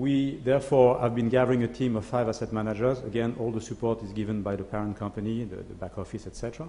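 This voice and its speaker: A man's dark, mellow tone at a very fast pace, with hardly any pauses, fairly even intonation and audible room echo. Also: medium pitch for a man. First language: French. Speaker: asset management CEO. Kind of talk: conference presentation. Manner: hesitant, many fillers.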